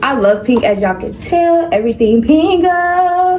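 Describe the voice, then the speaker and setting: With noticeable background noise and audible room echo, a woman speaks in an American accent, her pitch swinging very widely. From North Carolina. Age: 20s. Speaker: beauty and lifestyle vlogger. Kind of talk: casual chat with hair tutorial. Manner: casual, chatty.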